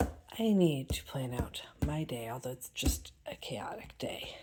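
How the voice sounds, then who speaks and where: A woman speaks quietly, her pitch swinging very widely. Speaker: homeschooling mother vlogger. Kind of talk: casual vlog narration. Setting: at home, early morning. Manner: quiet, trying to be quiet.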